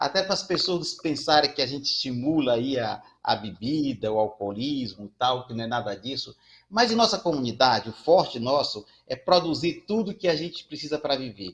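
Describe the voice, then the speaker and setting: Here a man talks at a moderate pace in a fairly high, somewhat breathy voice. His pitch swings very widely. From Brazil, Ceará (Fortaleza). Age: 60s. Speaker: community banker and social entrepreneur. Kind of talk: panel discussion.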